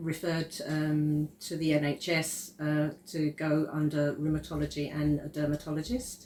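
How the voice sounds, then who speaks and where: In an Essex accent, a woman talks at a fairly slow pace with a very deep, low pitch. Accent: southern English (Essex). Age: 60s. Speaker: client giving a testimonial. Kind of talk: testimony interview.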